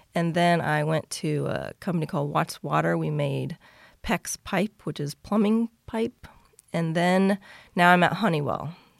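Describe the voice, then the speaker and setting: A woman with an American accent has a normal speaking voice, fairly low in pitch with ordinary pitch variation. She talks at a fairly slow pace in a very clean recording with a silent background. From rural Kansas, US. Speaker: cookie business owner and engineer. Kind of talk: interview.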